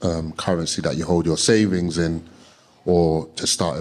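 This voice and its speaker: With a South London accent, a man speaks at a moderate pace. His pitch is very deep and low. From London, Peckham. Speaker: investing coach. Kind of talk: live podcast interview.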